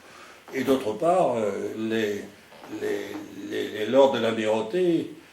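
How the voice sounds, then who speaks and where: A man is speaking in a room with audible echo. Noticeable background noise can be heard too. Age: 90s. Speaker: retired naval admiral. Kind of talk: interview. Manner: halting.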